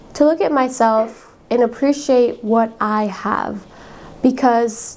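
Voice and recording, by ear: A woman with a fairly high pitch speaks in a dark, mellow tone with vocal fry and fairly even intonation.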